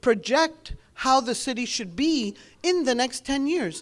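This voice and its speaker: Speaking with a non-native accent, a woman uses a high pitch and very wide pitch swings at a fairly slow pace. The recording is very clean, with a silent background. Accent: foreign accent in English. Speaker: government outreach specialist. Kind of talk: public speech.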